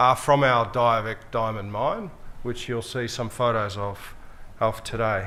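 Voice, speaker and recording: A man with an Australian accent speaks at a fairly slow pace, with audible room echo. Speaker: mining company executive. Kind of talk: conference speech. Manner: formal.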